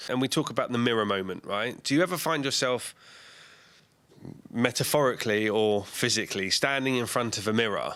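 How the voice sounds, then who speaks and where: A man speaks loudly at a fairly quick pace, his medium pitch moving with ordinary variation and his tone bright and sharp. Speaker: podcast host. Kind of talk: podcast interview questions. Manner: outgoing, loud.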